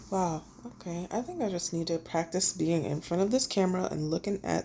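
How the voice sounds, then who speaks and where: Vocal fry colors the fairly low-pitched voice of a woman. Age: 30s. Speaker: vlogger sharing personal journey. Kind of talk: personal vlog monologue. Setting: recording alone to camera. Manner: casual, halting.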